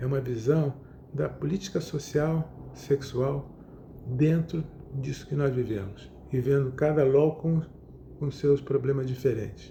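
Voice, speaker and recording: A man's dark, mellow, somewhat breathy voice, fairly slow and fairly even in intonation, with long, frequent pauses. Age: 70s. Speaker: psychotherapist. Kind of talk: lecture. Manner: halting.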